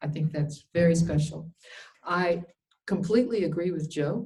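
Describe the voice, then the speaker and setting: A dark, mellow tone carries a somewhat breathy quality. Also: woman. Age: 70s. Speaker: nurse and spiritual teacher. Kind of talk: talk.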